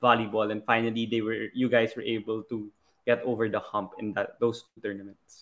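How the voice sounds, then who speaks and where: At a moderate pace, a man with a medium-pitched voice and a Filipino accent speaks with monotone, flat intonation. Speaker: podcast host. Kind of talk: casual interview chat.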